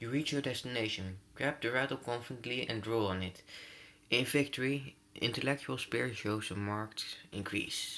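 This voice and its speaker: This man has a non-native accent and a bright, sharp tone at a moderate pace. The recording is very clean, with a silent background. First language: not English. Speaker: gaming youtuber. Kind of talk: let's play reading game text aloud. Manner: halting, frequent stumbles and self-corrections.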